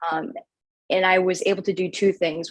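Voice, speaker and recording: Fairly low-pitched woman's voice at a moderate pace, with fairly even intonation. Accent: Chicago. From Chicago area, Orland Park. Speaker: radio news anchor. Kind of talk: interview.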